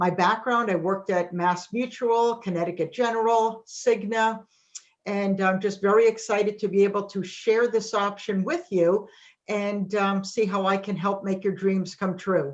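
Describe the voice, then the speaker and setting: A woman speaks with a New England accent. Her pitch is medium and her intonation fairly even. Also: moderate pace. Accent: New England, non-Texas. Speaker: financial services presenter. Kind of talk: webinar presentation.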